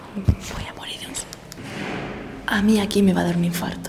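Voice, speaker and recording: Amid noticeable background noise and audible room echo, a woman with a medium pitch speaks at a moderate pace in a monotone, flat intonation. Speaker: travel vlogger. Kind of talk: on-location vlog. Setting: abandoned hotel corridor at night. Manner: whispering; soft-spoken.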